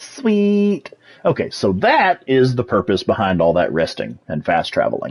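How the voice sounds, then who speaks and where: Speaking with a strong Texas accent, a man keeps an animated tone at a fairly slow pace. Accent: thick Texas. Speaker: video game streamer. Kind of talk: live gameplay commentary.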